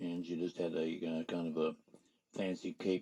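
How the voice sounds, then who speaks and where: This man's voice sits at a very deep, low pitch. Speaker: circus showman. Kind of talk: interview answer.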